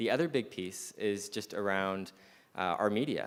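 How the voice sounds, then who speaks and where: A man with a Canadian accent has an ordinary speaking voice and a fairly low pitch. He keeps a moderate pace and fairly even intonation. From Canada, interior British Columbia. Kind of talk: panel discussion.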